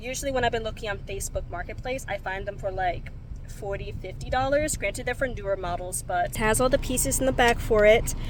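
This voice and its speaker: In an American accent, a woman with a fairly high pitch talks at a very fast pace with ordinary pitch variation and audible room echo. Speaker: vlogger. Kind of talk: casual vlog chat. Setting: in a car.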